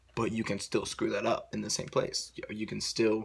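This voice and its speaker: Noticeable background noise runs beneath a voice moving at a fairly quick pace. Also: man. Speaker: vlogger. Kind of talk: casual monologue. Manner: fast; halting, many fillers.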